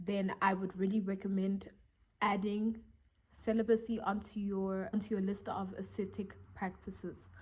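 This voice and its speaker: On a very clean recording with a silent background, a woman speaks fairly slowly in a dark, mellow tone that is somewhat breathy. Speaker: vlogger. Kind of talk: casual monologue vlog. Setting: talking to camera.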